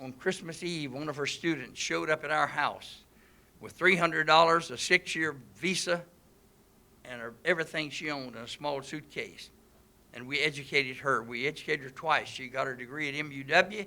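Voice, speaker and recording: Speaking at a fairly quick pace with a Mississippi accent, a man uses a fairly high pitch and a bright, sharp tone, with ordinary pitch variation and big swings in loudness. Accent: US Southern (Mississippi). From Mississippi, Pontotoc County. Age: 80s+. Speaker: business owner, political speaker. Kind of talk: public speech.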